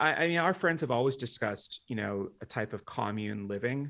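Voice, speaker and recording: A man with an American accent and vocal fry, ordinary pitch variation, on a very clean recording over a silent background. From Washington, D.C. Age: 40s. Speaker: demographic futurist and author. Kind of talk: interview.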